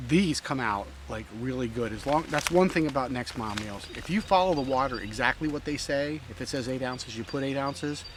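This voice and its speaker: Noticeable background noise sits behind a man with a medium pitch and ordinary pitch variation. He talks at a fairly quick pace with hardly any pauses. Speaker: backpacking vlogger. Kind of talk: outdoor vlog narration. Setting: outdoors on a trail. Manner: speaking quietly; casual with many fillers.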